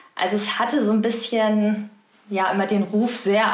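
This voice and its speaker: Amid audible room echo and noticeable background noise, a woman speaks at a moderate pace and medium pitch with monotone, flat intonation. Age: 20s. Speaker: hospital business unit manager. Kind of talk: interview.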